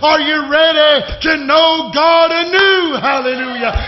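A man speaks loudly with fairly even intonation. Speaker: preacher. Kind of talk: sermon. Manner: fervent, exhortative, loud. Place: church. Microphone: podium.

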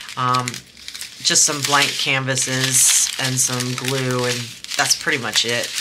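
A woman speaking at a very slow pace over loud background noise. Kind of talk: casual unboxing chat. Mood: relaxed, chatty.

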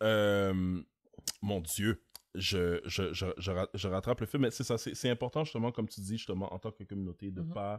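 Against a quiet background, an unremarkable speaking voice moves at a moderate pace with ordinary pitch variation. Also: man, fairly low pitch for a man. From Montreal, Quebec (Haitian community). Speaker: podcast host, entrepreneur; podcast host. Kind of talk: casual chat. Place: studio. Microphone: studio mic.

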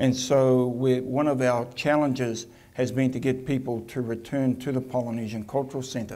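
A man speaks with a New Zealand accent in a dark, mellow tone. His intonation stays fairly even. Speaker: attraction CEO; presenter. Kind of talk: conference presentation. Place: hall.

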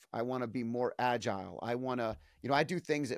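Over a quiet background, a man talks at medium pitch with ordinary pitch variation, the sound dry with no echo. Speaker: podcast host. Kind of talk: interview. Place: home room. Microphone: studio mic.

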